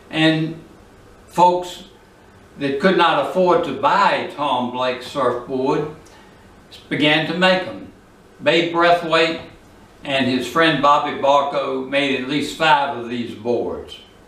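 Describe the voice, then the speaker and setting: A man with a fairly high voice talks at a very slow pace, with long, frequent pauses and ordinary pitch variation. Noticeable background noise and audible room echo surround him. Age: 80s+. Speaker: retired surfer, local historian. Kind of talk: narrated photo presentation.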